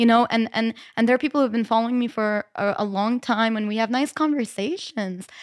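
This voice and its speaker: Speaking in an American accent, a woman with a fairly high pitch keeps a moderate pace and an animated tone, the sound dry and close with no echo. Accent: slightly American-sounding English. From lived in Malta since school age. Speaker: burlesque performer. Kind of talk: casual panel chat. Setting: studio around a table. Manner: animated, laughs often.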